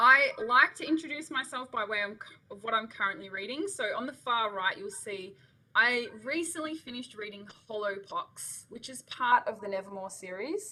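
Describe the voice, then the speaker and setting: A woman's high, bright, sharp voice in an Australian accent, at a moderate pace with lively intonation and big swings in loudness. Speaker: education consultant. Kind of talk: webinar presentation. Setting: online webinar. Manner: animated.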